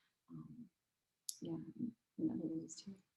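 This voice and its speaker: A soft-spoken woman talks at a fairly low pitch in a dark, mellow tone with vocal fry. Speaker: artist. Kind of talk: panel discussion over video call.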